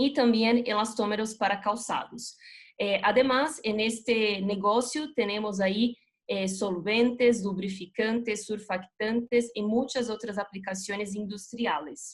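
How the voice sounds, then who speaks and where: A woman with a non-native accent speaks fairly slowly in a somewhat breathy, fairly high voice with fairly even intonation. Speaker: chemical company regional manager. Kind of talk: corporate presentation.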